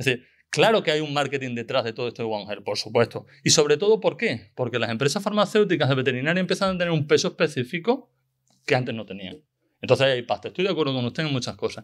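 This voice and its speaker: Against a quiet background, a man speaks very fast at a fairly high pitch with lively intonation. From Extremadura, Spain (La Vera area); Extremadura, Spain. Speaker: veterinarian and conference speaker; conference speaker. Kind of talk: conference talk; Q&A reply. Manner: halting, with many repetitions. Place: hall. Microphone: podium.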